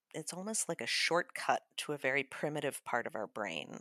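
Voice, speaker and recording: On a very clean, dry, close recording with no echo and a silent background, a woman with an American accent speaks at a moderate pace in a very deep, low pitch with vocal fry. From Chicago. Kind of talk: tutorial; casual chat.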